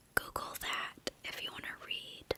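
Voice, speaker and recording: Over noticeable background noise, a woman is whispering at a very slow pace. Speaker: ASMR creator. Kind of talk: whispered ASMR Q&A to camera. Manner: whispered, soft-spoken, calming.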